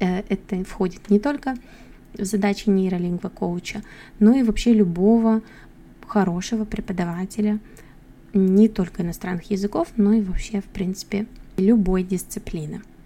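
A woman's medium-pitched, somewhat breathy voice with a dark, mellow tone at a moderate pace. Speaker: English teacher and podcast host. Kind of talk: solo monologue podcast.

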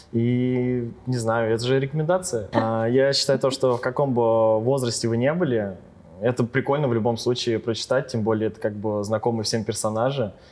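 This is an unremarkable speaking voice: a man at medium pitch and a moderate pace. His loudness is very even and his intonation fairly even. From Ryazan region, Russia. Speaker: DJ. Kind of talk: casual chat.

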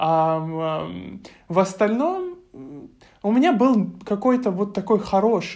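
Speaking at a very slow pace, a woman with a dark, mellow tone uses ordinary pitch variation. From Russia, Krasnodar Krai (Novorossiysk). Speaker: university student. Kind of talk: interview.

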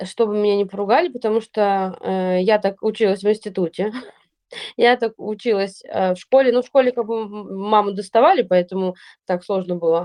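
A woman's dark, mellow voice at medium pitch, moderately paced with ordinary pitch variation, in a dry, close sound with no echo. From Russia, St Petersburg. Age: 30s. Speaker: podcast co-host, blogger. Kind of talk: casual chat.

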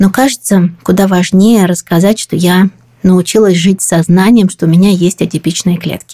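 A woman's dark, mellow voice at a medium pitch and moderate pace, fairly even in intonation, with a dry, close sound and no echo. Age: 40s. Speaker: podcast host. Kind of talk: scripted narration.

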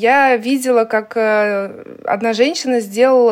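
The woman speaking has a fairly high pitch. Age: 30s. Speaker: tour organizer and cooking host. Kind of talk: casual interview.

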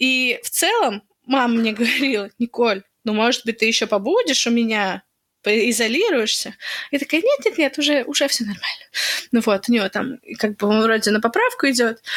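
A woman with a plain, everyday voice speaks at a moderate pace and fairly high pitch. Her pitch varies normally, and the sound is dry and close with no echo. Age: 20s. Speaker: podcast co-host, pregnant woman. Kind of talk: casual chat. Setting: remote call between cities.

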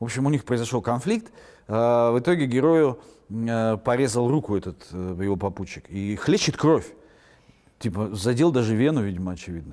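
Lively in intonation, a man speaks at a moderate pace and medium pitch. His tone is dark and mellow, broken by long, frequent pauses. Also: very clean recording, silent background. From Siberia, Russia (Irkutsk, Yakutsk). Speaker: novelist and publisher. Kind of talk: interview.

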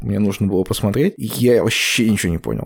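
A man's voice over noticeable background noise. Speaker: podcast host. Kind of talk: casual chat. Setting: video call.

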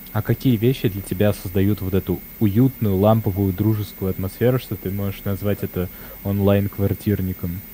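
A man speaks at a moderate pace with a fairly low pitch, a dark, mellow tone and a somewhat breathy quality. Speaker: community organizer. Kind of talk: casual group discussion. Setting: video call. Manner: animated, talkative.

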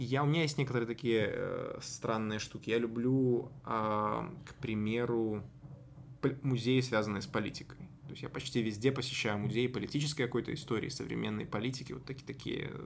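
In an unremarkable speaking voice, the man holds a medium pitch, a moderate pace and fairly even intonation. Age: 20s. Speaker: political journalist. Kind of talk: interview.

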